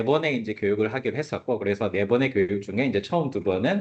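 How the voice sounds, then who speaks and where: A man at a very fast pace with lively intonation. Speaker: AI instructor. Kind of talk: lecture.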